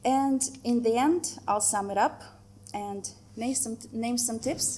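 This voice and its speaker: In a Russian accent, a woman speaks at a fairly slow pace. Her tone is dark and mellow, with ordinary pitch variation. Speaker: photographer. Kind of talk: presentation. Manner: hesitant, with fillers.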